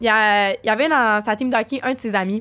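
Fairly slow and fairly high-pitched, a woman talks in a plain, everyday voice. Her pitch varies an ordinary amount. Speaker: podcast guest. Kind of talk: casual chat.

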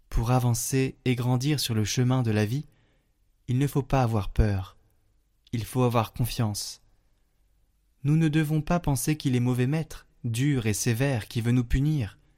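A man speaks in a dark, mellow, gentle and solemn tone with fairly even intonation. Long pauses come often. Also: medium pitch for a man, fairly slow pace. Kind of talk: fervent prayer, intercessory prayer and devotional reading. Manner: slow, solemn, reverent; gentle, heartfelt, intimate.

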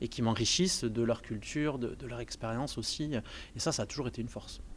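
Speaking very fast, a man talks at a medium pitch. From southern France, Montpellier. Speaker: video game industry worker. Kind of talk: personal testimony interview. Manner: halting, many hesitations.

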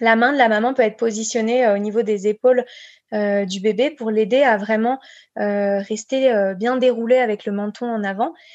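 Quiet background, and a woman with an ordinary speaking voice, fairly high pitch and fairly even intonation at a moderate pace. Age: 30s. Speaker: breastfeeding counsellor and speech therapist. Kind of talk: podcast interview, advice.

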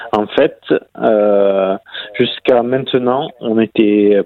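Very slowly, a man speaks. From southern France. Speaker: para-cyclist and police officer. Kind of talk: interview. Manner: halting.

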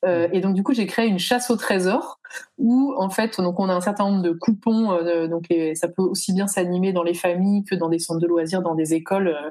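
At a moderate pace, a woman speaks with a medium pitch, ordinary pitch variation and very even loudness over noticeable background noise. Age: 30s. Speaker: founder of children's educational kits. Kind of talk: casual interview.

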